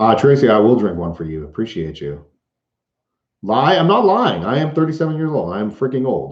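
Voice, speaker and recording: A man with an American accent speaks at a fairly quick pace at a medium pitch, with vocal fry. His pitch swings very widely. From US Northeast, Boston. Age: 30s. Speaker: van life vlogger and entertainer. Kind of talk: live stream Q&A. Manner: animated.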